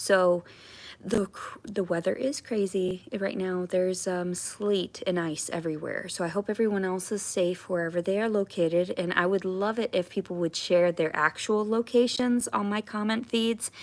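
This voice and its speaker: A woman of medium pitch speaks at a moderate pace, her intonation fairly even. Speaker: livestreamer. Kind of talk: casual live stream chat. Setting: home at night, live stream. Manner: halting, many fillers and restarts.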